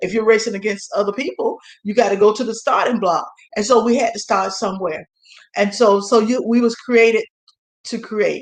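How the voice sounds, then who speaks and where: At a fairly quick pace, a woman with fairly high pitch talks in an animated tone. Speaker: talk show host. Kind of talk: motivational talk. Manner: fast.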